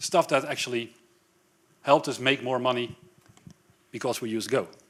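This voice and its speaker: A man with a Dutch accent, at a moderate pace. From Netherlands, Amsterdam. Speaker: software developer, tech speaker. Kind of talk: tech talk at a meetup.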